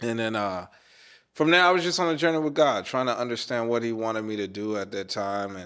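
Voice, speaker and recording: On a very clean recording with a silent background, a man with an American accent speaks at a fairly quick pace, his fairly low pitch carrying a bright, sharp tone and lively intonation. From North Carolina, Charlotte. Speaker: wedding DJ. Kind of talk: interview. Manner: casual, conversational.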